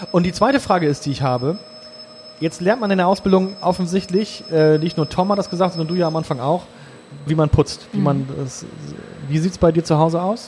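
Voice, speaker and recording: A man with a high pitch talks at a fairly quick pace, with ordinary pitch variation. He leaves long, frequent pauses, and there is noticeable background noise. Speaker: podcast host. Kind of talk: casual chat. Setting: brewhouse.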